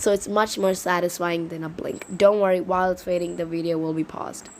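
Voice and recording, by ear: A woman's fairly low-pitched voice with a slightly mellow tone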